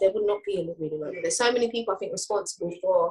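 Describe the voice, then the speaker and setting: A somewhat breathy woman at a very fast pace. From UK. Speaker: rapper. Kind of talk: casual interview chat.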